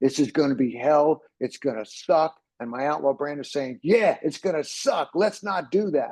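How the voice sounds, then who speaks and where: A man speaks with an American accent at a moderate pace. His pitch is fairly high, with ordinary pitch variation. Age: 60s. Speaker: ADHD coach. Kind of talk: presentation. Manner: animated.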